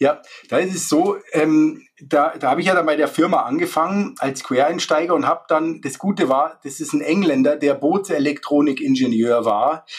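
This man's pitch is fairly high, with ordinary variation. He speaks at a moderate pace. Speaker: solar installer. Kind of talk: interview. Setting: remote call. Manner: halting, many fillers.

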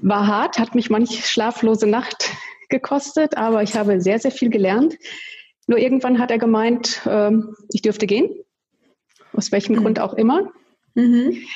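This woman has a fairly high pitch, ordinary pitch variation and very even loudness. She keeps a moderate pace with long, frequent pauses. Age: 50s. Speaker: family law attorney. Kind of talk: interview.

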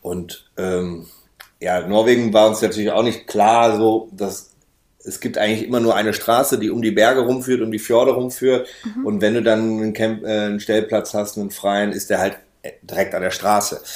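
Using a plain, everyday voice, a man talks at a moderate pace and a fairly low pitch. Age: 30s. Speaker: van traveller. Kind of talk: casual interview.

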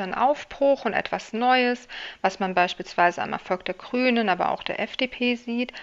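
Speaking at a moderate pace, a woman uses a plain, everyday voice with a fairly high pitch and ordinary pitch variation. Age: 40s. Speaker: political scientist, election researcher. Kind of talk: interview.

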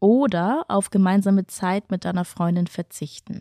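Recorded very cleanly against a silent background, a woman with a dark, mellow tone talks at a fairly slow pace in a dry, close sound with no echo. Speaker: podcast host and matchmaker. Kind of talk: moderated blind-date conversation. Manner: cheerful, animated.

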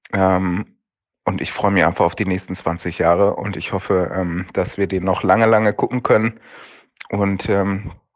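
Speaking at a moderate pace, a man holds a fairly low pitch in a flat, monotone delivery. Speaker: son of a late actor. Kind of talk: recorded voice message answers. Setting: voice message.

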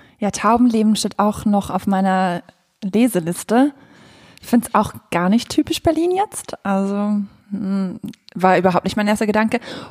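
The sound is dry and close, with no echo. The speech moves at a moderate pace with long, frequent pauses. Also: woman, medium pitch for a woman. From Switzerland. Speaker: music podcast co-host. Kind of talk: casual chat. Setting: living room in her flat. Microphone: poor sound, echoey room.

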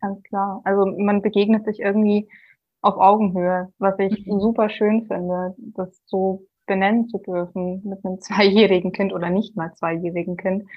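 A woman's medium-pitched, monotone, flat delivery at a moderate pace. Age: 20s. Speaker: physics student and single mother. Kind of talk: interview about personal experience.

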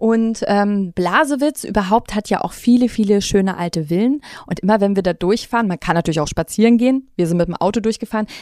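A woman with an unremarkable speaking voice talks fairly quickly at a medium pitch, with hardly any pauses and ordinary pitch variation. The recording is very clean with a silent background, dry and close with no echo. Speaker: podcast host. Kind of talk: casual chat.

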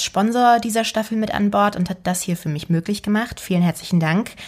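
Against a silent background in a very clean recording, a woman with a plain, everyday voice talks at a fairly quick pace in a fairly high pitch, with ordinary pitch variation. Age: 20s. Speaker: actress and podcast host. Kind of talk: solo podcast monologue.

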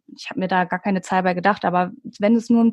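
Against a quiet background, a woman speaks in a somewhat breathy voice with fairly even intonation. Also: dry, close sound with no echo. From Hamburg, northern Germany. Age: 30s. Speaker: ASMR YouTuber. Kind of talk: casual interview.

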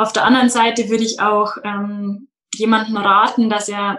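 A woman, fairly high-pitched, with a bright, sharp tone at a fairly slow pace. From Bavaria, Munich outskirts. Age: 20s. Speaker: daycare centre manager. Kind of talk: interview.

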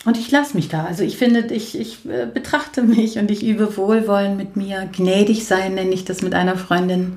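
Her somewhat breathy, medium-pitched voice runs with lively intonation and hardly any pauses as the woman speaks. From Germany. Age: 40s. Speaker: coach and social worker. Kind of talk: casual chat. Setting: in a living room. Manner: moderate pace, neither hectic nor slow.

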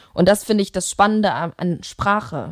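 A woman with a normal speaking voice talks at a medium pitch and moderate pace, with ordinary pitch variation, on a very clean recording with a silent background. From Germany, Leverkusen (Rhineland). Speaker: musician. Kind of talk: casual interview.

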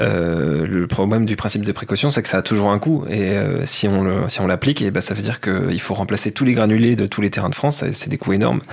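This man has an unremarkable speaking voice, fairly low in pitch. He talks at a fairly quick pace with lively intonation. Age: 30s. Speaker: sports journalist. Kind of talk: interview about his investigation.

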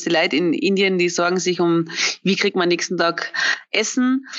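A woman's fairly low voice at a moderate pace. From Austria. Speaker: wedding photographer. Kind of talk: casual interview. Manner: halting, many fillers.

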